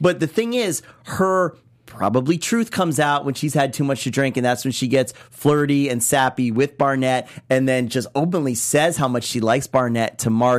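A man speaks at a moderate pace, medium in pitch, with ordinary pitch variation. His tone is animated. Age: 30s. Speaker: TV recap co-host. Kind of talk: casual chat.

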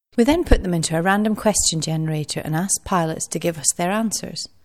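A woman uses an unremarkable speaking voice at a fairly low pitch. She keeps a moderate pace and lively intonation. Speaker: podcast announcer. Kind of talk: scripted intro and outro.

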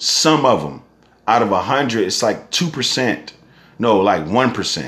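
A man's medium-pitched voice with very wide pitch swings, vocal fry and a moderate pace. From San Francisco Bay Area, Northern California. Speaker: podcast host. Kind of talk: solo casual monologue. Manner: animated, rambling.

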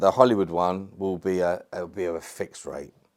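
On a very clean recording with a silent background, a man with a London accent talks at a moderate pace. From England. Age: 30s. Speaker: actor and ex-prisoner. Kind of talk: casual interview chat.

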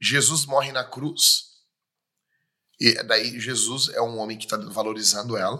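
A man's medium-pitched, bright, sharp voice with fairly even intonation and long, frequent pauses. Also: fairly slow pace. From Rio Grande do Sul, Brazil. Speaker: pastor. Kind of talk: casual chat.

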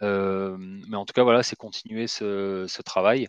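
Monotone and flat, a man's fairly low-pitched voice comes through dry and close with no echo, over a quiet background. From Marseille, southern France. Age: 30s. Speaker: recruitment firm director. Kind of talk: interview. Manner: hesitant, many fillers.

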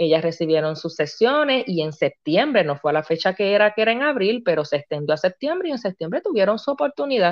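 A woman speaking at a fairly quick pace with very wide pitch swings. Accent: Puerto Rican. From Puerto Rico, Río Grande. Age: 40s. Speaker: family coach and dessert shop owner. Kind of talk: interview testimony.

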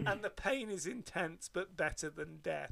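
A man's raised, projected voice, high in pitch with a bright, sharp tone. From Devon, England. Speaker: podcast co-host. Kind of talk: casual chat. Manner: animated.

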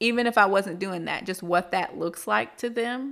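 A woman talks at a moderate pace in a plain, everyday voice with ordinary pitch variation. The recording is very clean, with a silent background. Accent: American. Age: late 20s. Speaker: podcast host. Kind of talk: solo monologue. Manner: conversational.

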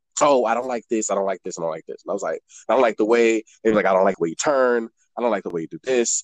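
The recording is dry and close, with no echo. A man talks very fast. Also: medium pitch for a man, ordinary pitch variation. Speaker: model and performer. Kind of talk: casual chat.

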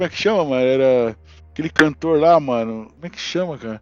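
A man with a fairly high pitch at a very fast pace. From Brazil, São Paulo. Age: 40s. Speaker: telecommunications engineer, series fan. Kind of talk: casual chat.

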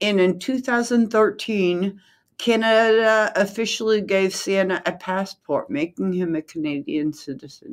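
On a very clean recording with a silent background, a woman with an unremarkable speaking voice talks at a fairly slow pace with lively intonation. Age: 60s. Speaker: podcast co-host. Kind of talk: reading aloud.

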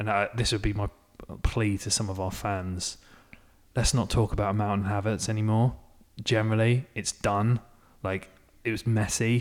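A man with an English accent speaks at a moderate pace with long, frequent pauses. His fairly low pitch stays monotone and flat. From England. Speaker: football podcast co-host. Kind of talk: casual chat.

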